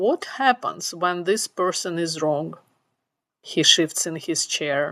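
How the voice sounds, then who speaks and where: Very slow and full of lively intonation, a woman's medium-pitched voice comes through a very clean recording with a silent background and a dry, close sound with no echo. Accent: non-native. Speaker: tech professional giving career advice. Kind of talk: storytelling monologue.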